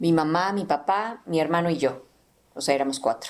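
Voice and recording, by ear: A woman's low voice in a central Mexican accent, fairly quick in pace, with ordinary pitch variation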